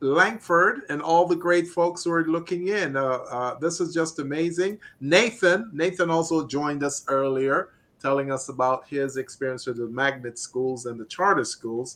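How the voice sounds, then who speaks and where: The tone is bright and sharp. Delivery comes at a fairly slow pace. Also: man. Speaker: radio host. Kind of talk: radio show banter. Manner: upbeat.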